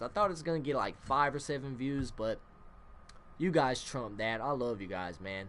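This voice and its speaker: A man mumbling at a fairly quick pace in a medium pitch, with very wide pitch swings. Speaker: gaming youtuber. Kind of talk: gameplay commentary. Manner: casual, filler-heavy.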